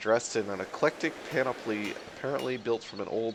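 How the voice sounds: Delivered in a natural reading voice, the intonation stays fairly even.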